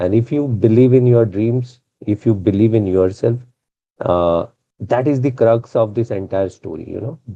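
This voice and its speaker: A man's medium-pitched voice in a Keralan accent, with ordinary pitch variation and a moderate pace. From India, Mumbai. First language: Malayalam. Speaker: retired naval officer and motivational speaker. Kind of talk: motivational talk. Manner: hesitant, with many fillers.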